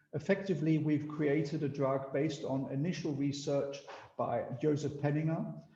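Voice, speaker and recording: A man's fairly high voice in an Austrian accent, monotone and flat, at a moderate pace, with audible room echo. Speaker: biotech company executive. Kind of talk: business presentation. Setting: video call.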